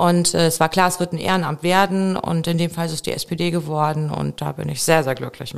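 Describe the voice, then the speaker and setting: A normal speaking voice from a woman, fairly low in pitch, with fairly even intonation, a fairly quick pace and hardly any pauses. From Remscheid, western Germany (Bergisches Land). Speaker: local politician, city councillor. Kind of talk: interview.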